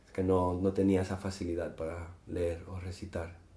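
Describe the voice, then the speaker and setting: Audible room echo surrounds a man speaking at a very deep, low pitch. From Gibraltar. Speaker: poet and musician. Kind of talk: interview. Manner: hesitant, with fillers.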